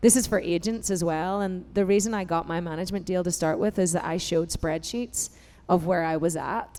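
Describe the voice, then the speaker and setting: A woman with an Irish accent, a dark, mellow tone, a fairly low pitch and a fairly quick pace. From Ireland. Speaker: singer and founder of a women's music organization. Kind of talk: panel discussion. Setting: stage with audience. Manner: animated.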